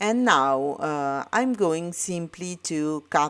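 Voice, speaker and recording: Very deep and low in pitch, a woman speaks with an Italian accent at a very slow pace. Her pitch variation is ordinary, and the recording is very clean with a silent background. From Italy. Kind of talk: tutorial. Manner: halting, many fillers.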